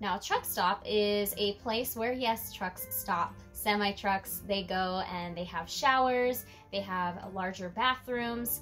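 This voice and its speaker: Faint music plays in the background. A woman talks over it at a moderate pace. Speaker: vlogger. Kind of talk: casual vlog chat. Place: home room.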